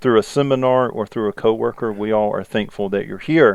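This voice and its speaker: A man talks at a fairly quick rate. Behind him, things stay quiet. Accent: Southern US. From US South, South Carolina. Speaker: podcast host, police interrogation instructor, former detective. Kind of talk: casual podcast chat. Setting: recorded podcast.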